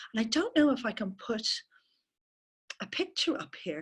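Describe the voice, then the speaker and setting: A woman talks very fast in an Irish accent. Her pitch swings very widely. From Ireland. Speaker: permaculture teacher. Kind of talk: webinar talk.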